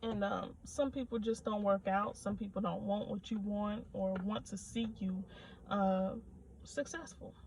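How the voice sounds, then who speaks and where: Soft-spoken, a woman talks at medium pitch and a fairly slow pace with fairly even intonation. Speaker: nail technician vlogger. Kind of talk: casual vlog rant. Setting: in a car.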